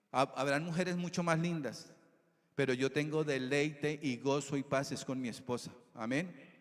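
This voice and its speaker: At a moderate pace, a man talks in a fairly high voice with fairly even intonation. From Colombia, Tolima (Armero). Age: 60s. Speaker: preacher. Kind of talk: sermon.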